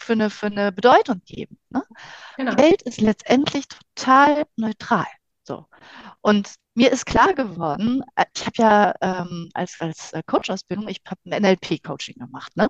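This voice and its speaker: Recorded dry and close with no echo, a woman speaks fairly slowly at a fairly high pitch, with very wide pitch swings and big swings in loudness. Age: 50s. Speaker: life coach. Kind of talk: casual interview.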